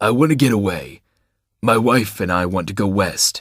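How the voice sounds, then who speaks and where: A man uses a put-on character voice, raspy and fairly low in pitch. His intonation is lively and his pace moderate. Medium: read story. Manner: weak.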